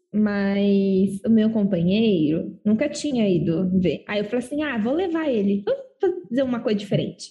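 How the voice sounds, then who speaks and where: A woman at a fairly slow pace. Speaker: podcast co-host. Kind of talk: casual chat.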